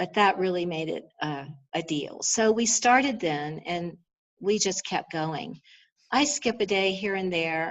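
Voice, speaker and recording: A woman speaks at medium pitch in a normal speaking voice. She goes at a fairly slow pace with lively intonation. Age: 60s. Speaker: astrologer. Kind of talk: interview.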